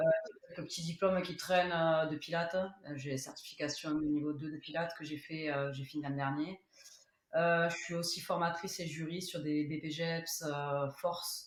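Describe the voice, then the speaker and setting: Spoken in a Toulouse accent, the delivery is flat and monotone at a moderate pace. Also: woman, fairly low pitch for a woman. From Toulouse, southern France. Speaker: rugby strength and conditioning coach. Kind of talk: podcast interview. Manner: hesitant, many fillers.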